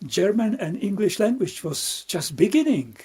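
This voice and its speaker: The man's intonation is lively. His tone is dark and mellow. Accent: Czech. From Czechia. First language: Czech. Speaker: Buddhist monk and meditation teacher. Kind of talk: dharma talk. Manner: halting, with repetitions.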